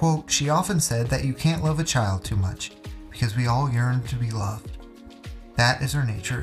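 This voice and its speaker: Lively intonation marks a man's speech as music plays in the background. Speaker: narrator. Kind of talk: documentary narration. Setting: studio.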